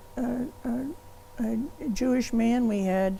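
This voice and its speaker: With an American accent, a woman talks in fairly even intonation while audible room echo surrounds her. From US South, Kentucky (Bowling Green). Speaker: law professor. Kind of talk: oral history interview. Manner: hesitant, with fillers and restarts.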